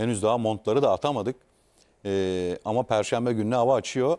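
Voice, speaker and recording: A man talks at a medium pitch with fairly even intonation in a plain, everyday voice. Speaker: sports talk show host. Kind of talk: casual chat. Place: studio. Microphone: lapel.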